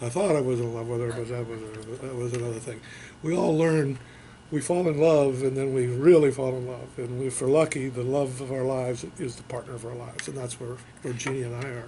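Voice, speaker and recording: A man with an American accent at a fairly quick pace, medium pitch, fairly even intonation, audible room echo and noticeable background noise. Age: 70s. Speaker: Army veteran, veterans council chairman. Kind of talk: oral history interview. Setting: veterans memorial center. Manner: hesitant, many fillers.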